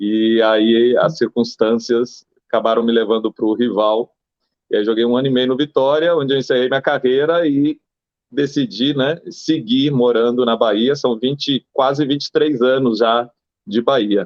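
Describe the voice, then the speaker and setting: Delivered at a moderate pace, the speech has very even loudness and ordinary pitch variation. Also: man, medium pitch for a man. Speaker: former football goalkeeper. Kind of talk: interview.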